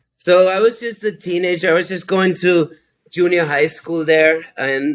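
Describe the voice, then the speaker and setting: At a moderate pace, a man speaks. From Austria, then San Francisco Bay Area from age 12. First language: German. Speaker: anthropology teacher. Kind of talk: casual chat. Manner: hesitant, many fillers and repetitions.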